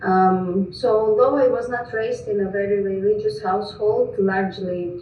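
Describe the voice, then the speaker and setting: Over noticeable background noise and audible room echo, a woman talks at a moderate pace in a medium pitch. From Greece. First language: Greek, Russian and Georgian. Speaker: missionary. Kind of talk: presentation.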